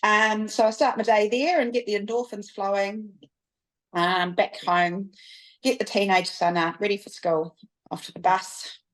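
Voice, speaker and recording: A woman at medium pitch and moderate pace, with ordinary pitch variation and big swings in loudness, against a quiet background. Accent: New Zealand. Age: 40s. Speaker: business production manager. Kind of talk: podcast interview. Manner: halting, many fillers.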